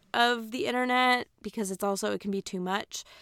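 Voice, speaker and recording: A woman speaks at a moderate pace in a fairly high pitch, with a bright, sharp tone and fairly even intonation. The sound is dry and close with no echo, and the recording is very clean with a silent background. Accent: American. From US Midwest, Aurora, Illinois. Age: 20s. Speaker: podcast host. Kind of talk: casual monologue. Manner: chatty.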